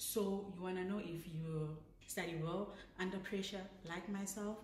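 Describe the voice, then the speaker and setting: A woman at a medium pitch and a moderate pace, with ordinary pitch variation, audible room echo, and noticeable background noise. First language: not English. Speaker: vlogger, law graduate. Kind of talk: casual advice vlog. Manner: chatty, self-correcting.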